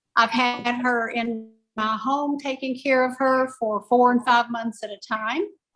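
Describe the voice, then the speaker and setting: The pace runs fairly slow. Intonation remains fairly level throughout. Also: woman, high pitch for a woman. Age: 70s. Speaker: family caregiver. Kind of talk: casual chat. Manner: emotional.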